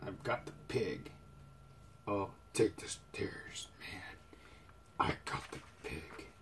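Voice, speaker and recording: Using a put-on character voice, a man talks raspily at a very slow pace, with long, frequent pauses, big swings in loudness and clear background noise. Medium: read story.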